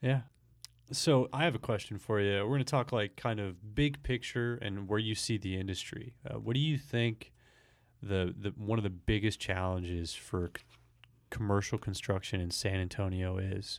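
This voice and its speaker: This very clean recording has a silent background and a plain, everyday voice. A man talks at a moderate pace, fairly low in pitch, with ordinary pitch variation. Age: young. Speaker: company podcast host. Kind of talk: interview.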